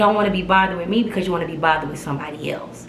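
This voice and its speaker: Lively intonation marks a woman's speech, heard with audible room echo and noticeable background noise. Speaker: vlogger. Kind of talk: casual storytelling vlog. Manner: loud; animated.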